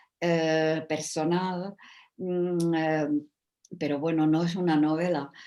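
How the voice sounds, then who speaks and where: The voice has a Czech accent and fairly even intonation. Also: woman. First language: Czech (speaking Spanish). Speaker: writer and translator. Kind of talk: panel discussion. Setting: video call. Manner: halting, many fillers.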